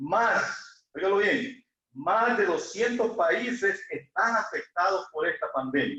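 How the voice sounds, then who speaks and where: In a Salvadoran accent, a man with extremely high pitch and a bright, sharp tone uses a raised, projected voice with lively intonation and very even loudness at a very slow pace. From El Salvador. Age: 60s. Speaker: lay preacher. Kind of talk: sermon. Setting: church, livestreamed.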